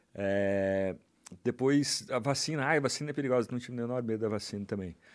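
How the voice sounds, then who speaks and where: Recorded very cleanly against a silent background, a man speaks with a Brazilian accent. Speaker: journalist and author. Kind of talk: casual chat.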